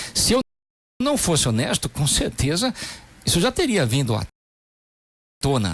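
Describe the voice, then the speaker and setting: Recorded dry and close with no echo, a man speaks at a moderate pace and a fairly high pitch, with very wide pitch swings, vocal fry, and long, frequent pauses. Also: very even loudness. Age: 60s. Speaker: politician. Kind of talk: radio interview.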